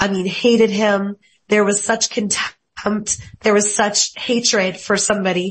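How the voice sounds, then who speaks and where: A woman's somewhat breathy, medium-pitched voice at a fairly slow pace, monotone and flat in intonation. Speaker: former TV meteorologist. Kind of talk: panel interview. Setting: video call.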